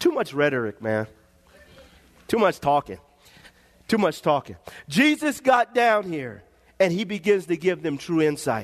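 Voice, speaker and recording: This man has a high pitch and an animated tone with very wide pitch swings. He leaves long, frequent pauses. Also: moderate pace. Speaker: pastor. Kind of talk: sermon to a live congregation, preaching with call-and-response. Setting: church with congregation. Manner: animated, exhortative, rhythmic repetition, pausing and repeating phrases; fervent, punchy.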